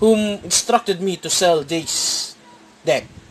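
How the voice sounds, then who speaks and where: A man talks at a very slow pace. Noticeable background noise can be heard. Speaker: card game YouTuber. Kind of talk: deck profile tutorial. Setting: at home, filming a playmat on a tripod. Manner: halting, with fillers and repeats.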